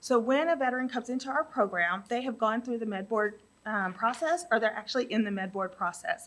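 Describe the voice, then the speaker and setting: A woman talks fairly quickly in a fairly high register, her pitch varying in an ordinary way. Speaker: nonprofit housing program executive presenting grant application. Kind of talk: grant application presentation. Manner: loud; hesitant, many fillers.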